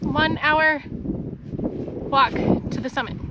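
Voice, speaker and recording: A woman's speech carries ordinary pitch variation, with noticeable background noise in the mix. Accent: American. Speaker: travel vlogger. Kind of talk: casual vlog chat. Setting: outdoors on a mountain hike.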